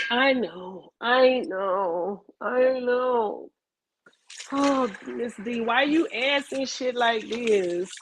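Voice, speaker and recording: Loud and high-pitched, a woman speaks at a very slow pace with ordinary pitch variation. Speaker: video podcast host. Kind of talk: casual rant. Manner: loud, emphatic; dramatic, animated.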